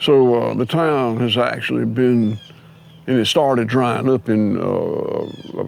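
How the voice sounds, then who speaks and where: A man speaks with a Southern US accent. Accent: Southern US (Georgia). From US South, Georgia. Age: 60s. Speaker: farmer. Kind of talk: interview conversation.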